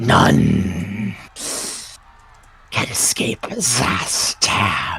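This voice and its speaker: The speaker uses a put-on character voice with a growl in it. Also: man, fairly low pitch for a man. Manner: sinister.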